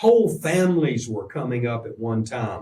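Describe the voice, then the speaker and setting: A man with a Virginia accent, vocal fry and very wide pitch swings. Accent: Southern US (Virginia). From US South, Roanoke, Virginia. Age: 70s. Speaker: pastor. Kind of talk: radio interview.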